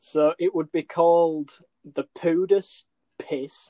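With an English accent, the speech comes in a monotone, flat intonation with a dry, close sound and no echo. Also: man. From England. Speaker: podcast co-host. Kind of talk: casual chat. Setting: remote call.

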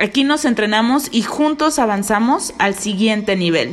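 A woman with a medium pitch talks at a moderate pace, her tone animated and her intonation lively. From Mexico, Veracruz. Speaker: podcast host, network marketing entrepreneur. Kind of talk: motivational podcast monologue.

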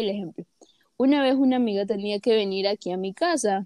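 Speaking at a moderate pace, a woman uses a normal speaking voice, fairly high in pitch with ordinary pitch variation. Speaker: podcast co-host. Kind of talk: casual chat.

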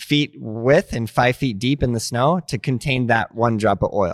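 A man speaks in a normal speaking voice at a medium pitch and fairly slow pace. His pitch variation is ordinary, and the sound is dry and close with no echo. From US, Montana (born Denver, moved around). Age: 30s. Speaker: skateboard company founder. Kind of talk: casual interview. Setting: his company headquarters, on camera.

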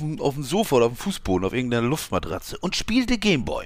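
A man talks at a very fast pace with very wide pitch swings. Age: 50s. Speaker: podcast co-host. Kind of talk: casual chat. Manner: halting.

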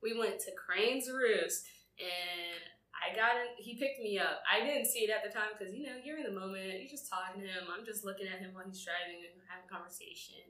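Speaking at a fairly quick pace in an American accent, a woman with a fairly high pitch and ordinary pitch variation shows big swings in loudness amid audible room echo. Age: 20s. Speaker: podcast co-host. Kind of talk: casual chat.

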